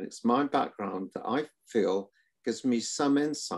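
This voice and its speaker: A man speaks with a Welsh accent. His pace is fairly slow, with ordinary pitch variation. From Wales, Cardiff. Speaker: retired surgeon. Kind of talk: panel interview.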